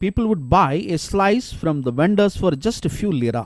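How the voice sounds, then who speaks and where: A man speaks with a Keralan accent. His pitch swings very widely. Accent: Indian, Kerala. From India, Kerala. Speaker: podcast host. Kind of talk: scripted narration.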